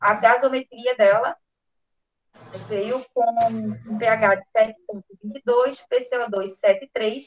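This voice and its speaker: At a fairly slow pace and fairly high pitch, a woman speaks in an ordinary speaking voice. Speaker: physician presenting a case. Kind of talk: clinical case presentation.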